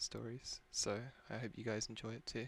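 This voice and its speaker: A soft-spoken man, medium-pitched, with a flat, monotone delivery. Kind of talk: casual talk to camera.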